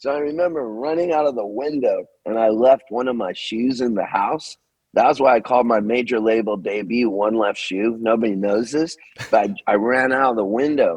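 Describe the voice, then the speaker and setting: Speaking with an American accent, a man holds a medium pitch and a moderate pace, his pitch varying in an ordinary way. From Southern California. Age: 60s. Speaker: singer-songwriter. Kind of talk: interview. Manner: animated.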